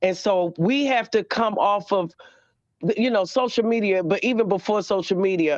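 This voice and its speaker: An animated voice with a Baltimore accent over a quiet background. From Baltimore, US. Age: 40s. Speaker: caller. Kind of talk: phone-in testimony. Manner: fast.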